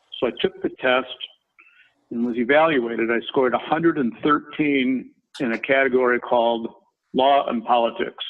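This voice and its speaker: Speaking in a Minnesota accent, a man keeps a medium pitch, a moderate pace and fairly even intonation. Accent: Minnesota accent, noticeable. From Minnesota, US Midwest. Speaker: construction company chairman, former lawyer. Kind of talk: career talk in webinar. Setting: company headquarters, video webinar.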